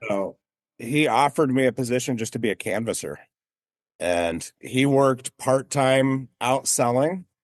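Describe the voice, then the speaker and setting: Speaking with an American accent, a man has an unremarkable speaking voice, talking at a fairly slow pace with ordinary pitch variation in a dry, close sound with no echo. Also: medium pitch for a man. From Las Vegas, Nevada. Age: 40s. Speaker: business owner. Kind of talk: interview.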